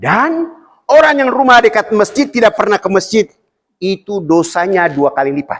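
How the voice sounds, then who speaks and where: Pitched high, a man's voice swings very widely in pitch at a moderate pace. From Papua, Indonesia (Fakfak). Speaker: Islamic preacher. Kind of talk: sermon.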